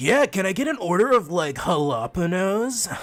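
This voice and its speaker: A man's put-on character voice, drawling and high-pitched, with very wide pitch swings at a moderate pace over light background noise. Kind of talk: casual slang. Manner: relaxed, drawling.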